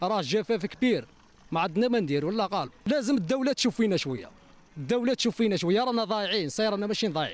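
A man talks at a very fast pace in a high pitch, with lively intonation. His loudness stays very even, and the sound is dry with no echo. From Algeria. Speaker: nomadic herder. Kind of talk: interview. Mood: worried, pleading. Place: open country. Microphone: handheld.

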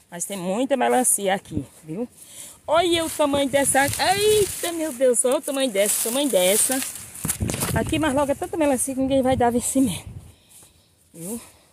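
Speech comes at a moderate pace, broken by long, frequent pauses. The sound is dry with no echo, and background noise is noticeable. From Brazilian Northeast, sertão. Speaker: rural video blogger. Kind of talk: casual vlog walkthrough. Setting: outdoors. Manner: animated. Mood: excited, amazed. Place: farm machine. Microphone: phone near.

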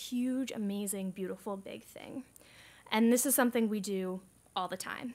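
A woman with a plain, everyday voice in an American accent, fairly high pitch and fairly even intonation. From United States. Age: 20s. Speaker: climate activist organizer; speaker. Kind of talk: conference presentation. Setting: stage with audience. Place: hall. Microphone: podium.

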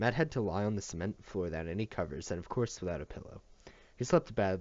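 The words come out as reading aloud in a natural voice.

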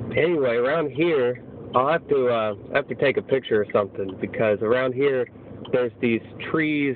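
A man at a moderate pace with ordinary pitch variation, dry sound with no echo, and light background noise. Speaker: student vlogger. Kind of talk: casual vlog chat. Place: car. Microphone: phone near.

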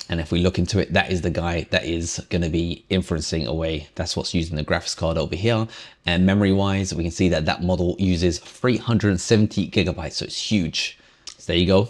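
With a very deep, low pitch, a man talks at a fairly quick pace and keeps his intonation fairly even. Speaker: tech reviewer. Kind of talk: tutorial. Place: home room.

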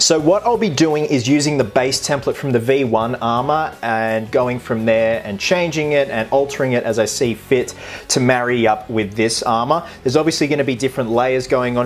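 A man talks at a moderate pace with hardly any pauses. His pitch varies in an ordinary way, and there is light background noise. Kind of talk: casual vlog chat. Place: home room.

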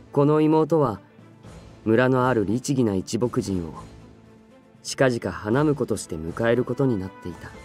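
With music in the background, a man at medium pitch talks at a fairly slow pace with lively intonation, big swings in loudness, and long, frequent pauses. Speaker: voice actor. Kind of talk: literary audiobook reading.

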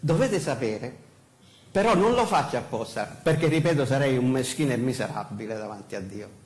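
A man's somewhat breathy voice with a Sicilian accent, lively intonation and a fairly quick pace. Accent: Sicilian Italian, uses dialect. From Sicily. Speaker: pastor; pastor preaching. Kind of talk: sermon. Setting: church pulpit. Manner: halting, many fillers. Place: church.

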